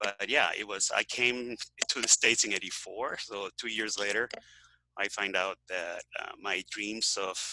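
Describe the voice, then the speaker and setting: In a Venezuelan accent, a man speaks at a fairly slow pace with a fairly low pitch, a bright, sharp tone and monotone, flat intonation, the sound dry and close with no echo. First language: Spanish. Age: 60s. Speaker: health author and activist. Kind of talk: interview. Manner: halting, many fillers.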